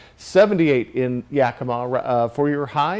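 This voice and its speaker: Noticeable background noise accompanies a man who talks at a moderate pace with a fairly high pitch and ordinary pitch variation. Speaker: TV weather forecaster. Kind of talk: weather forecast.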